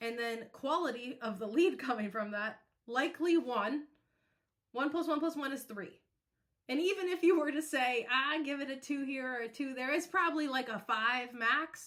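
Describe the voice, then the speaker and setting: Animated and high-pitched, a woman speaks with a bright, sharp tone. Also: ordinary pitch variation, moderate pace. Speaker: podcast host. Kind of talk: presentation.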